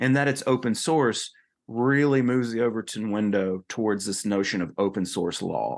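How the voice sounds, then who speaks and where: Over a quiet background, a man with an American accent speaks at a moderate pace, fairly low in pitch, with ordinary pitch variation. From North Carolina. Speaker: author and political writer. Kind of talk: podcast interview.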